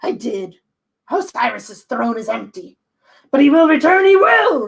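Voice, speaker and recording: Loud and high-pitched, a put-on character voice that sounds female moves at a moderate pace. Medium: read story. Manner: loud, boastful, menacing.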